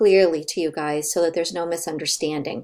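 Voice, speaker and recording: Speaking at a fairly low pitch with ordinary pitch variation, a woman has a plain, everyday voice. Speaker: college professor. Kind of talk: recorded online course announcement. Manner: casual, many fillers.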